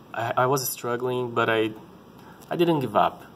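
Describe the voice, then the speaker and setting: This man has a Brazilian Portuguese accent and keeps his intonation fairly even. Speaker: parent vlogger. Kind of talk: personal vlog talk. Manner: halting, many repetitions.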